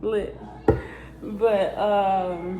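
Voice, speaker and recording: A woman speaks at a medium pitch with audible room echo. Music plays in the background. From South Bend, Indiana (US Midwest). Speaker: vlogger. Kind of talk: casual get-to-know-me vlog. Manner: animated.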